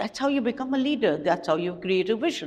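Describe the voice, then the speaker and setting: With audible room echo, a woman speaks with lively intonation. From Pakistan, Lahore. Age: 60s. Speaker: educator and activist. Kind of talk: conference talk. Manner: emphatic.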